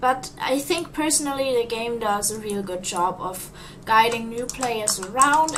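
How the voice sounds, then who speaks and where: A woman with a non-native accent at a moderate pace and ordinary pitch variation, amid audible room echo and noticeable background noise. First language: not English. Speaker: gaming YouTuber. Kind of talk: gameplay commentary. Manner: halting, repeats words.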